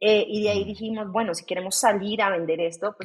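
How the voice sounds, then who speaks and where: A woman speaks at a medium pitch with fairly even intonation. It is a plain, everyday voice. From Colombia, Bogotá. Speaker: startup CEO. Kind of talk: interview.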